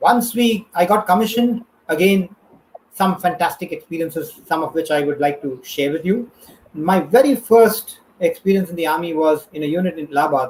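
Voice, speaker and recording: The speaker has a Tamil accent. The pace is fairly quick. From India, Tamil. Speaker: retired army officer. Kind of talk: interview storytelling. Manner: hesitant, many fillers.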